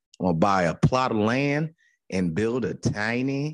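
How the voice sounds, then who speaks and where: Animated, medium-pitched man with lively intonation. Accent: American. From Newark, New Jersey. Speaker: comedian. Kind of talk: casual chat.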